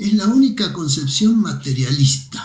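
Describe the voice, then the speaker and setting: A man with a fairly high pitch sounds somewhat breathy. His pitch swings very widely at a fairly slow pace. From Argentina, Mendoza. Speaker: philosophy professor. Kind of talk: casual chat. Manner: hesitant, many fillers.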